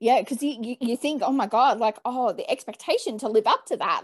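A woman with an Australian accent speaks at a fairly quick pace with a high pitch over a quiet background. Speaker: podcast host. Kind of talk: casual interview. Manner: enthusiastic. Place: home room. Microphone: earbuds.

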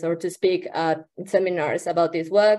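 A woman's dark, mellow voice with fairly even intonation. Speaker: presenter. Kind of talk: talk to a remote workshop audience. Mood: friendly, slightly self-conscious. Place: home room. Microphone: video call.

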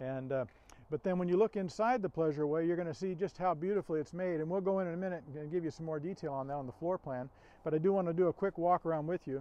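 A man speaks at a very fast pace in a high voice. His pitch variation is ordinary and the sound is dry with no echo. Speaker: RV salesperson. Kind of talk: product walkaround presentation. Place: street.

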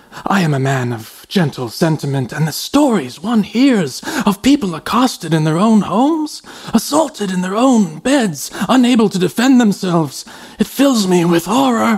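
A high-pitched man's voice with very wide pitch swings. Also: moderate pace. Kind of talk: audio drama. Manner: gentle, fearful, grateful.

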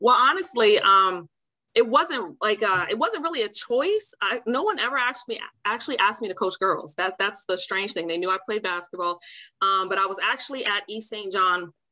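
A woman speaks at a moderate pace with lively intonation. The background is quiet. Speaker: now coach. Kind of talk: interview answer. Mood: warm, often laughing. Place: home room. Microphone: video call.

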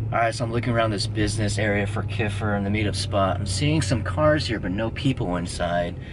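A man speaks with hardly any pauses in a fairly low pitch and fairly even intonation. Noticeable background noise runs underneath. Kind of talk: casual vlog chat. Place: car. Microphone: phone near.

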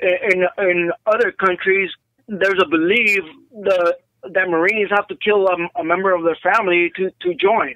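A raised, projected voice in an American accent, with fairly even intonation and a dry, close sound with no echo. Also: man. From Southern California (North Hollywood). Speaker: retired Marine gunnery sergeant. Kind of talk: casual interview, war recollections. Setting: phone call. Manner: halting, many fillers.

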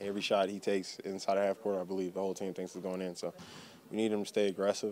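Very fast, flat monotone speech, dry and echo-free, over light background noise. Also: man. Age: 20s. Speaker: basketball player. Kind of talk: press interview. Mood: relaxed, upbeat. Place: hall.

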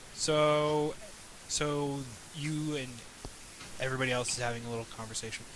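Pausing long and often, a man with a fairly high pitch talks at a moderate pace with fairly even intonation over noticeable background noise. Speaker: Dungeon Master and channel host. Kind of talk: tabletop role-playing game session, casual chat and narration.

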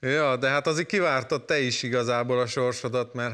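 A quiet background surrounds speech delivered at a moderate pace. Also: man. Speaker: talk show host. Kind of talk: talk show interview. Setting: studio. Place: studio. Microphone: lapel.

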